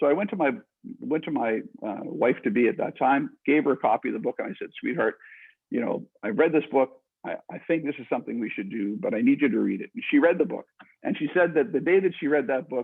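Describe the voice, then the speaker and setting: A man talks at a very fast pace. His fairly high pitch makes very wide swings. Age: 60s. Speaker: author and entrepreneur. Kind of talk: interview. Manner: halting, frequent repetitions.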